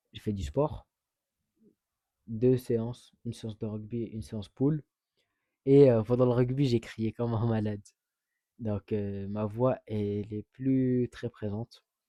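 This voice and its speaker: A man speaks very slowly at a medium pitch, with a dark, mellow tone, fairly even intonation and long, frequent pauses. The sound is dry and close with no echo, over a quiet background. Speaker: vlogger. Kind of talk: casual vlog talk.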